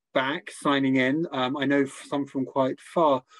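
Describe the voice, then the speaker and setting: A man with a plain, everyday voice, fairly high in pitch and fairly slow in pace. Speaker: medical lecturer acting as interviewer. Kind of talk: interview conversation. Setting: online webinar with audience.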